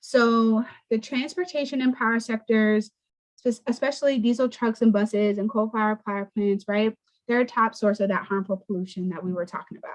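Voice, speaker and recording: Speaking at a fairly quick pace in a plain, everyday voice, a woman with a fairly high pitch shows ordinary pitch variation. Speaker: environmental nonprofit communications manager. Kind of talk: presentation to students over video call. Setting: video call.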